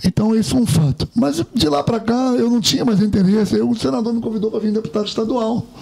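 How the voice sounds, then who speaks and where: Noticeable background noise sits behind a man with a high-pitched voice. He speaks at a fairly quick pace with ordinary pitch variation. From Rio de Janeiro, Brazil. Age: 60s. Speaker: retired military officer and politician. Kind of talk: interview.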